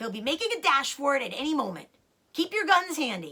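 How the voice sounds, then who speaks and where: In a put-on character voice, a woman speaks fairly quickly at a high pitch, swinging very widely up and down. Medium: read story.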